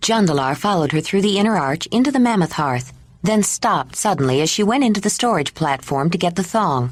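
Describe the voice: The reading aloud is plain, yet the intonation is lively.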